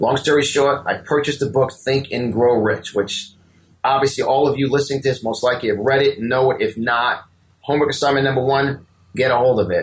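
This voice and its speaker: With a strong New York accent, a man talks at a fairly quick pace and medium pitch, his loudness very even throughout. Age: 50s. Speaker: motivational speaker and business coach. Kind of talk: interview. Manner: repetitive false starts.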